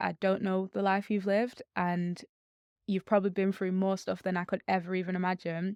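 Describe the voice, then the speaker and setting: A woman speaks at a fairly quick pace with a Mancunian accent, medium pitch and monotone, flat intonation. The recording is very clean, with a silent background and a dry, close sound with no echo. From Manchester, northern England. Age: 20s. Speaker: charity CEO and social entrepreneur. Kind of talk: podcast interview.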